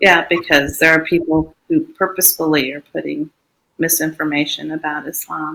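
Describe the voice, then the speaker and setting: Her tone bright and sharp, a woman with a very deep, low pitch speaks at a moderate pace in flat, monotone intonation while her loudness swings widely. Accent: American. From United States. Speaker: Islamic educator and public speaker. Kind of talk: interview conversation. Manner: halting, many fillers and restarts.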